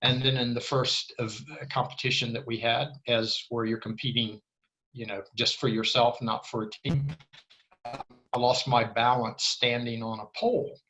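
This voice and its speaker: Music plays in the background behind a voice with an American accent. The intonation stays monotone and flat at a moderate pace. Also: man, medium pitch for a man. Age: 70s. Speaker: former diplomat and navy frogman. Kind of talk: casual chat.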